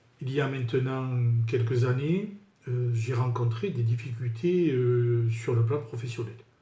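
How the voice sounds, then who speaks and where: There is audible room echo around a man's medium-pitched voice. His tone is dark, mellow and somewhat breathy, with ordinary pitch variation. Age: 60s. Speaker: sales manager giving client testimonial. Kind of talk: testimony. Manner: halting with frequent fillers.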